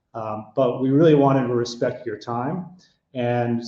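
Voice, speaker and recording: At a fairly slow pace, a man with an American accent speaks at medium pitch in an unremarkable speaking voice. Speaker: hotel consulting executive. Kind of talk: webinar presentation.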